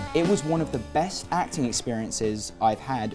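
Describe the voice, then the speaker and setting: Music in the background behind a man with a British accent, speaking at a moderate pace. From England. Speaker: actor. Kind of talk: interview answer. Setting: studio.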